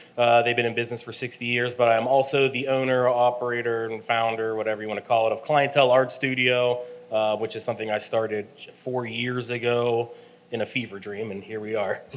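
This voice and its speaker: A man's monotone, flat delivery at a fairly quick pace, with noticeable background noise and audible room echo. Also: medium pitch for a man. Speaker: engineer and art studio owner. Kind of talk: panel discussion. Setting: stage with audience. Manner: loud.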